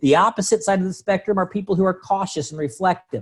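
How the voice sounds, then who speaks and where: The man's voice is high-pitched. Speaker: sales trainer and coach. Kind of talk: online training presentation. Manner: fast.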